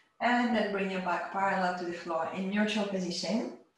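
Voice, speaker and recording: A woman is speaking amid light background noise. Audible room echo is present too. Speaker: yoga teacher. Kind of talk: instruction. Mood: calm, encouraging. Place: home room. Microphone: camera far.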